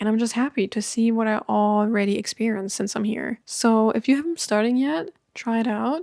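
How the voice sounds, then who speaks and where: In a German accent, a woman speaks at a fairly quick pace with hardly any pauses and very even loudness, her fairly high pitch showing ordinary variation. Her tone is dark and mellow, and the sound is dry and close, with no echo. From Germany. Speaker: YouTuber. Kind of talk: casual chat. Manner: relaxed.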